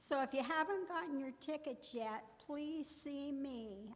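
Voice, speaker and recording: High-pitched and fairly slow, a woman speaks over light background noise. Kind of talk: church announcement. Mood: friendly, upbeat. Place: church. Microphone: podium.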